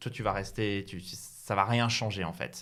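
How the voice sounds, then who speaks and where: A man's voice with ordinary pitch variation. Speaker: chess streamer. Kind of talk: interview. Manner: hesitant, filler-heavy.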